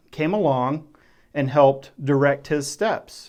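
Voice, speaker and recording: Against a quiet background, a man with an American accent talks fairly slowly at a fairly high pitch. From West Texas. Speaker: faith and journaling YouTuber. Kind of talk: casual talk to camera. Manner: conversational, with fillers.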